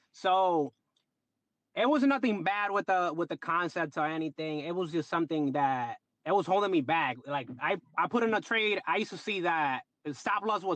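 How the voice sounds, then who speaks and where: Speaking with a Dominican accent, the voice sounds animated, with lively intonation and a fairly quick pace, dry and close with no echo against a quiet background. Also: man. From Dominican Republic. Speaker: trader. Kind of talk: casual chat.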